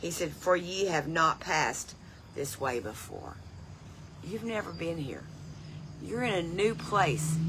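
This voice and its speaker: Speaking with an American accent, a woman uses lively intonation and vocal fry at a fairly slow pace and fairly low pitch, with long, frequent pauses and audible room echo. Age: 70s. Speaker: lay Bible teacher. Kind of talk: devotional Bible teaching. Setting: outdoors on front porch.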